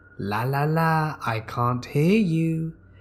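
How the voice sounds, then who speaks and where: A man cackles in a put-on character voice pitched fairly high. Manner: mocking, evil.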